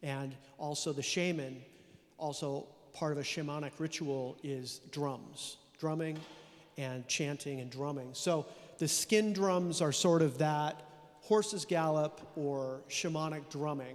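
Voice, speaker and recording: Fairly high in pitch, a man with a Californian accent speaks at a fairly slow pace with fairly even intonation. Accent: Californian American. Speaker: composer. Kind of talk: interview.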